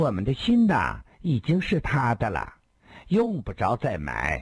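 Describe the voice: A man's put-on character voice, medium in pitch with a slightly husky edge, very wide pitch swings and a fairly slow pace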